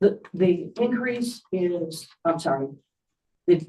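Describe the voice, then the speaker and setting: A woman's dark, mellow tone at a very slow pace with ordinary pitch variation. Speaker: town board official. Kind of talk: public meeting. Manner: loud.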